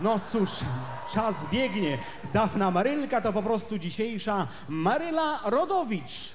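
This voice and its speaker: Noticeable background noise fills the recording. Over it, a man speaks very slowly. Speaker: stage host or entertainer. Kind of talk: stage announcement. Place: stage. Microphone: handheld.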